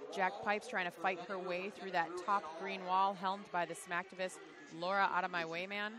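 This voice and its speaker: This woman has a Chicago accent and a medium pitch. She talks at a moderate pace. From Chicago area, US Midwest. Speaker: roller derby commentator. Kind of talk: live commentary. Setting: commentary booth at a live event. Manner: animated.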